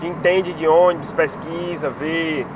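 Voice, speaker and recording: A man with a fairly high pitch, speaking at a very slow pace over noticeable background noise. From Brazil, Piauí (Teresina). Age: 30s. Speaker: bus enthusiast vlogger. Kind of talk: casual vlog chat. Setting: in a car, driving.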